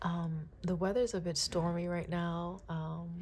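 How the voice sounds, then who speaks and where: A woman talks in a fairly low, somewhat breathy voice with monotone, flat intonation. Room echo is audible. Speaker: tarot reader. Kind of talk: tarot reading with prayer. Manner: halting, some garbled speech.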